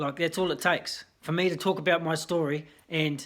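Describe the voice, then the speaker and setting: Over a very clean recording with a silent background, a man with a New Zealand accent speaks at a fairly high pitch in a monotone, flat intonation. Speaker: vlogger in addiction recovery. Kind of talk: personal testimony vlog. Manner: casual, hesitant with fillers.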